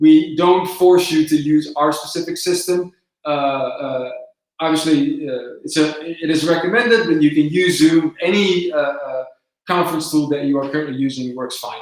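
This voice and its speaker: A man with a Dutch accent, fairly high pitch, fairly even intonation and a moderate pace. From southern Netherlands. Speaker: company presenter. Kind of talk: live webinar Q&A. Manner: hesitant, many filler words.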